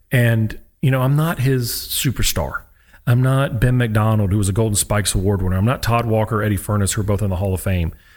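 A man talks at a fairly quick pace in an ordinary speaking voice, pitched fairly low with ordinary pitch variation. His loudness stays very even, and the recording is very clean with a silent background. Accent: American. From US, military family moving around. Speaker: sports psychologist, former college baseball pitcher. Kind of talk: interview conversation. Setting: studio.

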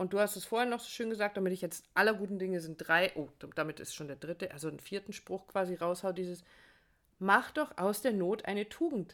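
A woman with a plain, everyday voice speaks at medium pitch and a fairly quick pace, with ordinary pitch variation and big swings in loudness, in a very clean recording with a silent background. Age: 50s. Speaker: relationship podcast host and coach. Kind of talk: casual chat.

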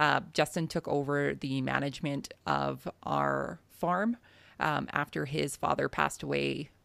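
A woman with a western Canadian accent at a fairly slow pace, on a very clean recording with a silent background. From southern Alberta, Canada. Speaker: farmer and podcaster. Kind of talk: interview.

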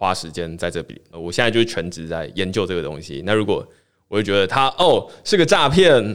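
A man with a Taiwanese accent speaks at a fairly quick pace in a fairly low pitch, with lively intonation and big swings in loudness, on a very clean recording with a silent background. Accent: Taiwanese Mandarin. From Taiwan, Tainan. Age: 20s. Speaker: blockchain newsletter founder. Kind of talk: casual interview chat.

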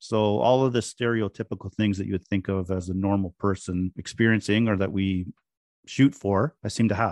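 A man's fairly low voice, a normal speaking voice, at a moderate pace with fairly even intonation, in dry, close sound with no echo. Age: 50s. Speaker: business owner in addiction recovery. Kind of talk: interview.

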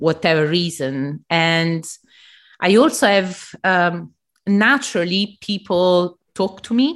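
On a very clean recording with a silent background, a woman with an Italian accent speaks at a very slow pace in a fairly low pitch with ordinary pitch variation. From southern Italy. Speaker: embroidery artist and podcaster. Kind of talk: interview conversation. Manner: halting, with frequent fillers.

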